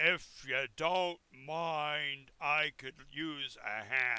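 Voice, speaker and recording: This man puts on a character voice with a fairly high pitch. He talks at a very slow pace. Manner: polite, requesting.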